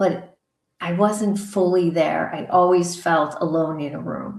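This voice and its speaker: A woman speaks in a normal speaking voice at a fairly low pitch. She goes at a fairly slow pace with ordinary pitch variation. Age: 60s. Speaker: author and coach. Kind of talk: personal testimony interview.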